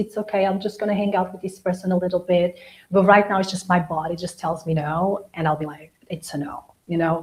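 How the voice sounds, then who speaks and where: The voice is somewhat breathy, with monotone, flat intonation. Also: woman, medium pitch for a woman. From Angola and Portugal. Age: 40s. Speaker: interview guest. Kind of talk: casual chat.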